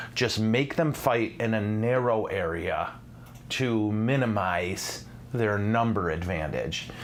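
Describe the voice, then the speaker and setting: An animated man with an American accent speaks at a medium pitch with ordinary pitch variation. Audible room echo surrounds his voice. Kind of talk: live-streamed teaching show.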